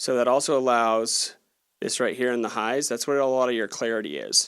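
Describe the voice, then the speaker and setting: In a very clean recording with a silent background, a man speaks at medium pitch and a fairly quick pace in an energetic tone. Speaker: gear reviewer and audio engineer. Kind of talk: tutorial. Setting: studio. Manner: casual, energetic.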